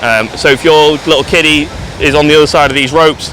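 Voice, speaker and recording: A man with an English accent, over noticeable background noise. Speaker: travel vlogger. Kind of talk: casual vlog walkthrough. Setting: outdoors on a beach. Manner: quiet.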